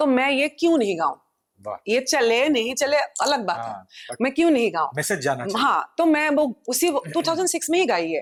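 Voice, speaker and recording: High-pitched woman's voice with very wide pitch swings. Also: moderate pace. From Assam, India. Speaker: playback and folk singer. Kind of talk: podcast interview answer.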